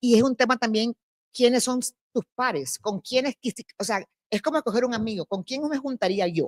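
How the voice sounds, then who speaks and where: A fairly high-pitched woman with ordinary pitch variation, in a dry, close sound with no echo. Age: 50s. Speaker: festival director. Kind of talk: panel discussion. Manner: fast.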